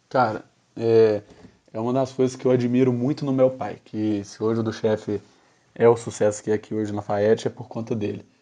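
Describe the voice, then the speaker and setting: Against a quiet background, a man speaks at medium pitch and a moderate pace. His tone is dark and mellow, his intonation monotone and flat. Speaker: restaurant manager. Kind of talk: casual podcast chat.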